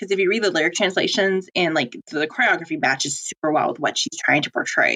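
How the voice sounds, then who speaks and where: Very fast speech with a bright, sharp tone and lively intonation. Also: woman, medium pitch for a woman. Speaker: podcast co-host. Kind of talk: casual chat. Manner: halting.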